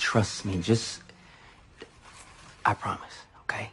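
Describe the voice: A man whispers in a put-on character voice. He goes at a slow pace, with a husky, rough edge.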